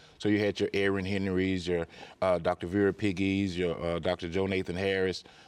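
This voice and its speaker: A man speaks at a moderate pace in a Mississippi accent, his pitch very deep and low. His intonation is flat and monotone, and his loudness stays very even. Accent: Southern US (Mississippi). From Mississippi Delta, US. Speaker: higher education executive. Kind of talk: interview conversation.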